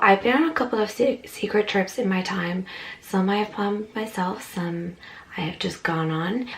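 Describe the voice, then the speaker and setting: A quiet woman's voice amid noticeable background noise. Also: medium pitch for a woman, ordinary pitch variation, moderate pace. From Ireland. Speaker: travel vlogger. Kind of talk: casual talk to camera.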